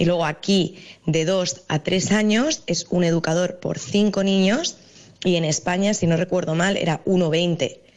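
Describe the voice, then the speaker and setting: A woman's fairly low voice, fairly slow in pace, with fairly even intonation and very even loudness. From Spain, Madrid. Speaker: early childhood educator. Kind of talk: interview. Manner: hesitant, with fillers.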